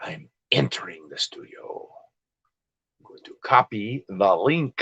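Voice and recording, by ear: A man puts on a raspy character voice, medium in pitch and delivered at a fairly slow pace.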